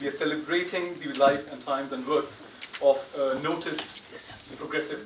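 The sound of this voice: At a fairly slow pace, the voice carries ordinary pitch variation with audible room echo. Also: man.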